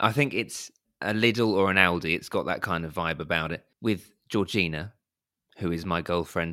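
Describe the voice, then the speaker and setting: A man with a southern English accent, bright and sharp in tone, at a moderate pace. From Surrey, southern England. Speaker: podcast co-host. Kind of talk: casual chat. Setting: remote call.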